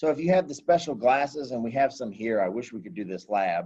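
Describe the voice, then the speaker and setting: At a moderate pace, a man speaks with lively intonation at a medium pitch. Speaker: high school science teacher. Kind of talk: lecture. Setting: classroom, door open. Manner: loud; casual, filler-heavy.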